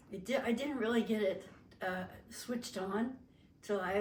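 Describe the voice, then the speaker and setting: Fairly slow speech in a western US accent, with audible room echo and noticeable background noise. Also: woman. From Las Vegas, Nevada, US. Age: 70s. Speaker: family interviewee. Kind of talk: oral history interview. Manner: halting, with frequent fillers.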